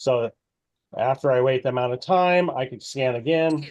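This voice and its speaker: The recording is dry and close with no echo. A man talks at a moderate pace with ordinary pitch variation. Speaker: ag-tech product presenter. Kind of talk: webinar product demo. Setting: online webinar. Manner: hesitant, many fillers.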